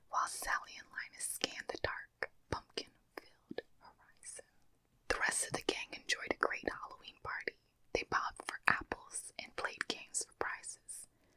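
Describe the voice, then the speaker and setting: Whispering and soft-spoken, a woman talks at a moderate pace with big swings in loudness. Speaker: storyteller. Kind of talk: soft story reading, ASMR-style. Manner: close-mic soft whispered reading. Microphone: studio mic.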